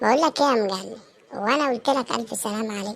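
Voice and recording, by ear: In a cartoonish character voice, a female-sounding speaker talks fairly quickly. The voice is raspy and fairly high in pitch.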